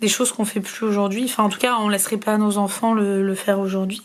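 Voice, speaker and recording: A woman's fairly high voice delivers words in a monotone, flat intonation. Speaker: scrapbooking crafter. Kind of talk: casual talk to camera.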